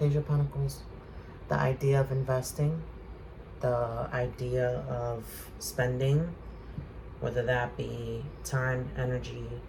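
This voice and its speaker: A soft-spoken man talks at a very slow pace with long, frequent pauses, and audible room echo surrounds him. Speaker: tarot reader. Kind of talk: tarot reading. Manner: hesitant, many fillers.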